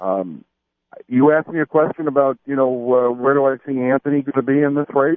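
A man with an unremarkable speaking voice, fairly high pitch and a fairly quick pace. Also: ordinary pitch variation. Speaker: mayoral candidate. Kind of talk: radio interview.

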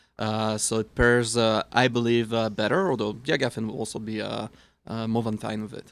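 A man with a Swiss accent speaks at a fairly quick pace, his medium-pitched voice held in a flat monotone. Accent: noticeable foreign accent (Swiss). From Switzerland. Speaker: wine expert. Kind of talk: casual chat with tasting notes.

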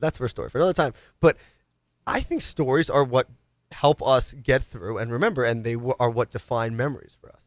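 A man of medium pitch talks at a fairly quick pace, with ordinary pitch variation and big swings in loudness. The sound is dry and close with no echo, in a very clean recording with a silent background. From New York City, Upper East Side of Manhattan. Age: 20s. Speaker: radio show host. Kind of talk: casual talk show. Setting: studio.

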